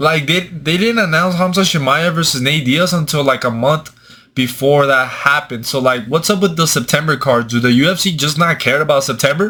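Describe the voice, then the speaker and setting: A man with a Mexican accent speaks fairly quickly with hardly any pauses and very even loudness. His fairly high pitch varies in an ordinary way, in a bright, sharp tone. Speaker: MMA commentator, YouTuber. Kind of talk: casual commentary. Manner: animated.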